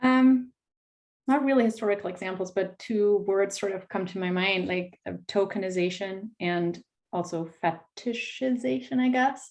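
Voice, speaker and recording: Speaking in a German accent, a woman uses a medium pitch with ordinary pitch variation. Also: moderate pace. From Germany. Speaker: fantasy author. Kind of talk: panel discussion.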